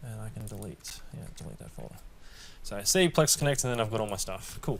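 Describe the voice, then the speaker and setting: The man talks at a very fast pace, medium in pitch. His voice is somewhat breathy with ordinary pitch variation. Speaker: tech tutorial youtuber. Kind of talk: tutorial. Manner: casual.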